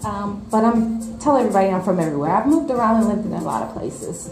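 A woman is speaking with audible room echo. Clear music plays in the background. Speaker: guest. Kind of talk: interview answer. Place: hall. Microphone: handheld.

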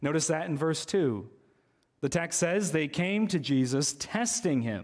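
The man talks at a fairly slow pace while the background stays quiet. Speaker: preacher. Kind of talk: sermon. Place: church. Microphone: podium.

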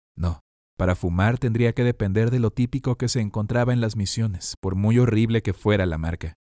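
Dry and close with no echo, a man with a fairly low pitch and dark, mellow tone delivers a dramatic reading at a fairly quick pace with fairly even intonation. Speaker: audiobook narrator. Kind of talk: scripted audiobook narration, dramatic. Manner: dramatic, tense, measured pacing.

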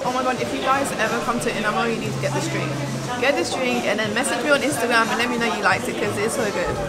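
A woman at a very fast pace with ordinary pitch variation, crowd noise behind her. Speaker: food vlogger. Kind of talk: casual vlog chat. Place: cafe. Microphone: camera far.

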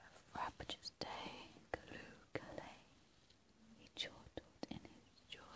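Whispering in a calm tone, the speaker goes at a fairly slow pace. Long, frequent pauses run through the speech. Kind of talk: whispered poetry reading for relaxation. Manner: whispered, calm, soft.

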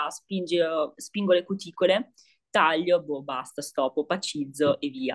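Against a quiet background, a woman speaks in a plain, everyday voice with a fairly low pitch. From northern Italy, Piacenza. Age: 20s. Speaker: beauty therapist, course student. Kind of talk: casual interview about a course review. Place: home room. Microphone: video call.

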